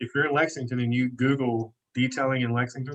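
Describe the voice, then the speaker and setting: A man talks at a fairly quick pace with a fairly high pitch. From Kentucky, US South. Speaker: detailing business owner and event organiser. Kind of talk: podcast interview. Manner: animated.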